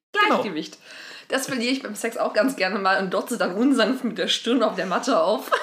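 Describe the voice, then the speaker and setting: Over noticeable background noise, a woman talks at a fairly quick pace. Her pitch is fairly high, and her loudness swings a lot. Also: ordinary pitch variation. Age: 20s. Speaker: podcast co-host. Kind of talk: casual chat.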